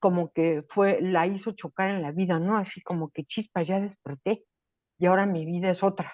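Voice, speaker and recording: A woman's unremarkable speaking voice at medium pitch and moderate pace, fairly even intonation, a quiet background, and a dry, close sound with no echo. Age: 60s. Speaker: writing workshop participant. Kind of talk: casual chat.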